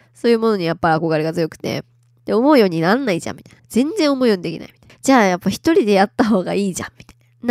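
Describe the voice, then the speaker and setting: Very fast speech from a woman at medium pitch, with very wide pitch swings and a dry, close sound with no echo. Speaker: podcast host. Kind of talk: solo casual talk. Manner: frequent fillers, laughing.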